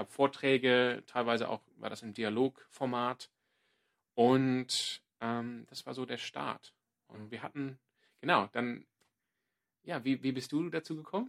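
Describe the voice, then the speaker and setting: A man's medium-pitched voice at a very slow pace, with fairly even intonation, big swings in loudness, long and frequent pauses, and a dry, close sound with no echo. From Australia, Sydney. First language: English (speaking German). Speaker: podcast co-host, church ministry worker. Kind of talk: casual chat.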